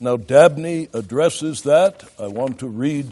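The man's voice has a dark, mellow tone. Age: 70s. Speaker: pastoral theology lecturer and preacher. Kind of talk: lecture. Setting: classroom with audience of ministers.

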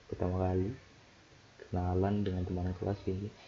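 A man talks at a fairly quick clip. There is noticeable background noise. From Jayapura, Papua, Indonesia. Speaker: podcaster, recent nursing graduate. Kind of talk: casual solo diary-style talk. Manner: halting, rambling, self-interrupting.

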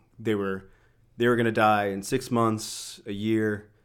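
A man speaks in a plain, everyday voice. His pitch is fairly low and his intonation fairly even, on a very clean recording with a silent background. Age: 30s. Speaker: weightlifting coach. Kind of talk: casual chat.

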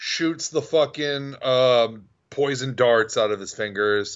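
A man talks with lively intonation at a medium pitch. He has an unremarkable speaking voice. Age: 30s. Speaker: podcast co-host. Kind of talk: casual chat.

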